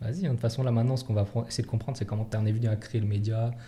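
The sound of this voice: This man's voice is fairly low, with a dark, mellow tone. He speaks very fast with fairly even intonation.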